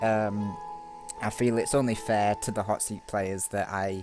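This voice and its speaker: A man talks at a fairly slow pace and a fairly low pitch, with a Yorkshire accent. The recording is very clean, with a silent background. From Yorkshire, northern England. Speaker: gaming YouTuber. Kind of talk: gameplay commentary. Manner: hesitant, many fillers.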